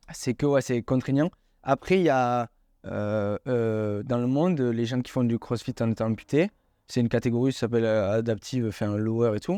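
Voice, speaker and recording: A man speaks at a medium pitch and a moderate pace in a dark, mellow tone, with ordinary pitch variation and a dry, close sound with no echo against a quiet background. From southwestern France (Hautes-Pyrénées). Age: 20s. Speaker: amputee athlete. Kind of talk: interview.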